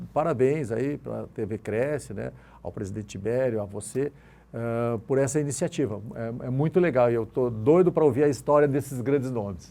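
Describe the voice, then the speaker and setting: Recorded very cleanly against a silent background, a man with a dark, mellow tone speaks at medium pitch and a moderate pace. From Rio Grande do Sul, Brazil. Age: 60s. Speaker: real estate broker. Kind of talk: interview. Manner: halting.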